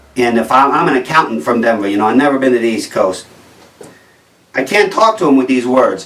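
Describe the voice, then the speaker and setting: A man in a New Jersey accent, medium in pitch, at a fairly quick pace with lively intonation, over noticeable background noise. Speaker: comedian. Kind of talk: stand-up comedy monologue.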